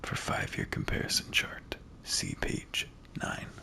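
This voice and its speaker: Someone whispers in a relaxed tone at a very slow pace over noticeable background noise. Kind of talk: reading in-game documents aloud. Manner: soft-spoken, relaxed; slow-paced, relaxed.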